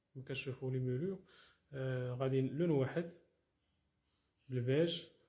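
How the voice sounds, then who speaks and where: A dark, mellow tone, somewhat breathy, at a fairly slow pace with fairly even intonation. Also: man, medium pitch for a man. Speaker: interior decoration contractor. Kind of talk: walkthrough tutorial showing finished work. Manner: casual, with frequent fillers and restarts.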